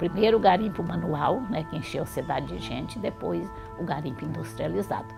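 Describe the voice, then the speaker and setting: A woman talks at a moderate speed while music plays in the background. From Minas Gerais, Brazil. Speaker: retired teacher and historian. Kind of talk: oral history interview answer.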